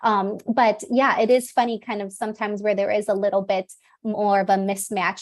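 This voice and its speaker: With an ordinary speaking voice, a woman talks at a fairly quick pace and medium pitch, her intonation fairly even, on a very clean recording with a silent background. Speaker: communication coach. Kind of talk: interview. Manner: many filler words.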